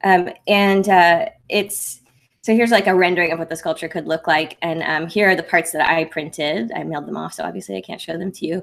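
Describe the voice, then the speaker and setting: Speaking at a fairly quick pace, a woman with a fairly low pitch, ordinary pitch variation and vocal fry shows big swings in loudness. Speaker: maker YouTuber. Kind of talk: livestream update. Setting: livestream with screen share. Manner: soft-spoken; casual, halting with fillers.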